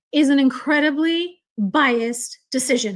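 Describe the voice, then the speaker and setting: A woman speaks loudly in a high voice with ordinary pitch variation. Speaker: true crime commentator. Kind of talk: live stream reaction and chat reading. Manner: loud, heated.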